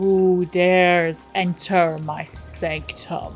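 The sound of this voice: Over clear background noise, a woman puts on a booming, resonant character voice at a fairly low pitch. She talks at a very slow pace.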